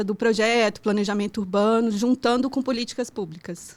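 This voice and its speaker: Speaking fairly quickly with a slight Pará accent, a woman keeps a fairly high pitch and fairly even intonation in a very clean recording with a silent background. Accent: slight northern Brazilian (Pará). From Brazil, childhood in Pará and moving around. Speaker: architect and urban planning professor. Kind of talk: podcast interview.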